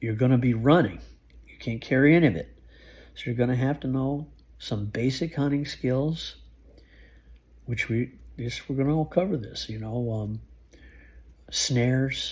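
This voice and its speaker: Over a silent background in a very clean recording, a man sounds somewhat breathy and leaves long, frequent pauses. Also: medium pitch for a man, ordinary pitch variation, moderate pace. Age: 60s. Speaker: survival skills youtuber, truck driver. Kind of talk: informal tutorial monologue. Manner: casual, halting with restarts.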